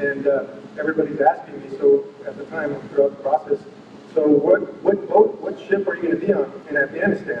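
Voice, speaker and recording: A man speaks at a fairly quick pace with an American accent. Noticeable background noise runs under his voice. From Southern California. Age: 40s. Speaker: navy officer, war veteran. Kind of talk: speech. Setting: banquet hall with audience. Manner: halting, with frequent fillers and repeats.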